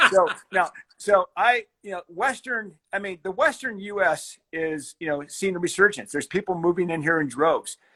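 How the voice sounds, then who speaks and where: With an American accent, a man speaks at a moderate pace in a raised, projected voice, high-pitched with ordinary pitch variation and a bright, sharp tone, the sound dry and close with no echo. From Colorado. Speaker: fly fishing company founder. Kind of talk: interview. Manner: halting.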